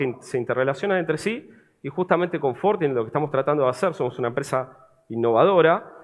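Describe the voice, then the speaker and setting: A man talks at a very fast pace in a Buenos Aires accent. His pitch is fairly high, and his intonation is lively. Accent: porteño accent, noticeable. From Argentina, Buenos Aires. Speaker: cybersecurity vendor representative. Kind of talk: conference presentation, sales pitch.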